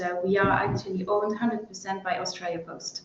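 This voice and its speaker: Against noticeable background noise and audible room echo, a woman talks in a French accent. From France. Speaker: sales and marketing director. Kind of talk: webinar interview. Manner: halting, many fillers.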